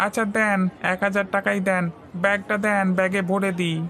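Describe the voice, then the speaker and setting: At a moderate pace and a middle pitch, a female-sounding, cartoonish character voice delivers monotone, flat intonation over clear background noise. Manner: persuasive, obliging.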